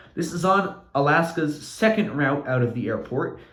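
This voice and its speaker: Audible room echo surrounds a man's fairly high-pitched voice. His intonation is lively. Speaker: model aviation YouTuber. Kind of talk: narrated hobby video update. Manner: stuttering, with fillers; casual, improvised.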